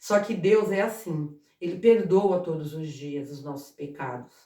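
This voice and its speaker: Very wide pitch swings from a woman at a fairly slow pace. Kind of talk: informal Bible talk to camera. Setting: at home. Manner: halting, repeats words.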